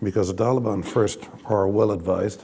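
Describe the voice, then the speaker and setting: A man speaks with an Italian accent at a fairly low pitch. His pace is moderate. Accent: Italian accent, self-described as terrible. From Italy. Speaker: diplomat. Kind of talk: panel discussion. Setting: stage with audience. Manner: halting, with many fillers.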